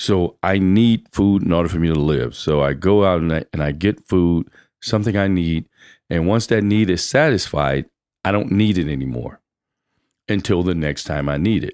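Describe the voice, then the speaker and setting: A man speaks in a very deep, low pitch on a very clean recording with a silent background. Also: ordinary pitch variation, moderate pace. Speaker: Air Force veteran and leader. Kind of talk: casual chat.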